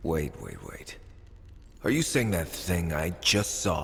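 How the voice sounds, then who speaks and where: Over clear background noise, a man uses a put-on character voice at a very deep, low pitch and a fairly slow pace. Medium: video game.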